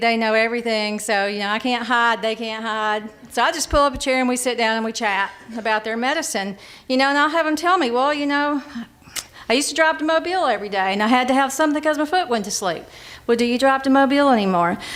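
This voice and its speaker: Through audible room echo, a woman with a high pitch and ordinary pitch variation talks at a very fast pace. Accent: Alabama. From US South (Monroe County, Alabama). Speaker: hospital pharmacist and interim CEO. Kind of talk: conference presentation. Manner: conversational, halting with repetitions.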